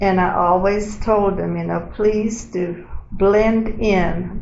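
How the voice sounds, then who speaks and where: Amid noticeable background noise and audible room echo, a woman speaks very slowly. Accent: American. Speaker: oral history interviewee, retiree. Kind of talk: oral history interview. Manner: conversational, storytelling.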